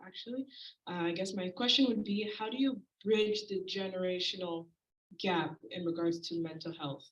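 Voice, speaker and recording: A woman talks at a fairly quick pace in a plain, everyday voice. Her pitch varies in an ordinary way. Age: 20s. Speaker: audience member asking a question. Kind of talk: audience question. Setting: community event with audience.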